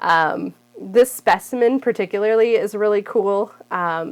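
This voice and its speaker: A woman speaks at a medium pitch with ordinary pitch variation, in a very clean recording with a silent background. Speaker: plant content creator. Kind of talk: casual video talk to camera. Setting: home. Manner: animated.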